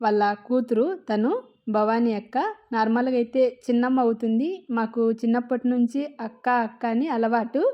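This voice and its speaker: Nothing much stirs behind the voice, which is quiet in the background. Its tone is dark and mellow. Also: woman. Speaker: vlogger. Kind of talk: travel vlog narration.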